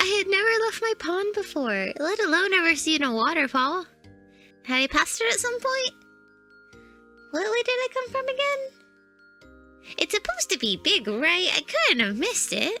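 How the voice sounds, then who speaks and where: A put-on character voice at an extremely high pitch and a moderate pace, with very wide pitch swings and faint music in the background. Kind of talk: character lore story narration. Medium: read story.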